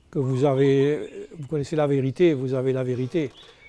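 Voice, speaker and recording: The man speaks at a fairly slow pace. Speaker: novelist. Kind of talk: interview. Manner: hesitant, many fillers.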